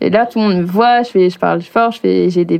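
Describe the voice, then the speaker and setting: Here is a woman at a medium pitch. She talks at a moderate pace in an ordinary speaking voice. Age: 20s. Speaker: drag performer. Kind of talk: casual chat.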